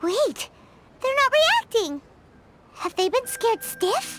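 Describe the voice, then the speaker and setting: A squeaky, cartoonish character voice sits at an extremely high pitch. The pace is fairly slow. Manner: excitable, chatty.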